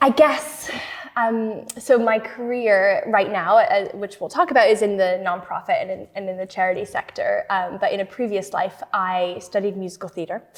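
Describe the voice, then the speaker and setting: A woman with a Canadian accent speaks at a moderate pace in a medium pitch, with ordinary pitch variation, big swings in loudness and noticeable background noise. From Canada, Toronto. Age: 30s. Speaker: strategy consultant. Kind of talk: podcast interview.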